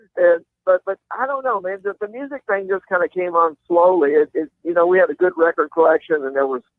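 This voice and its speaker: Speaking at a fairly quick pace, this voice has a Kentucky accent and lively intonation. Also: man. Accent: Kentucky Southern US. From Kentucky, Louisville. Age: 60s. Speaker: country rock guitarist. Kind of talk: interview. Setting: phone call; outdoors. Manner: halting.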